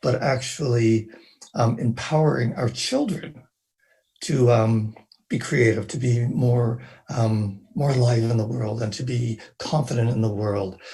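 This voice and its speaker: A somewhat breathy man's voice at medium pitch, fairly slow in pace, with fairly even intonation. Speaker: parent, participant in online orientation. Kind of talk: reflective remarks in online meeting. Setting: online meeting. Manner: hesitant with many fillers.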